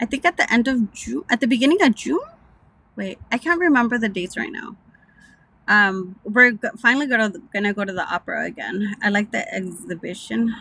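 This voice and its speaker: With a slight Mexican accent, a woman speaks at a moderate pace in a fairly high pitch with lively intonation, the sound dry and close with no echo. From Southern California (Mexican-American, born Mexico City). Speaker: live streamer. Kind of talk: casual chat. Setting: in a car.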